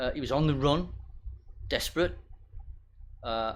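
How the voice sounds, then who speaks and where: A man with a British accent speaks at a fairly high pitch, with audible room echo around him. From Britain. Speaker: pastor. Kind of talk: sermon. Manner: halting.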